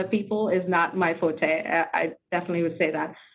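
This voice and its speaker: At a moderate pace, a woman speaks with a non-native accent. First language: not English. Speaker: tech leader, webinar panelist. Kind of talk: panel discussion.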